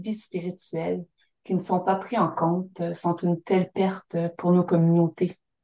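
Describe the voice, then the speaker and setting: A woman's medium-pitched voice, dark and mellow in tone, at a fairly slow pace. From Syilx Nation, interior British Columbia, Canada. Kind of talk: interview. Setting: remote call from home by the fireplace.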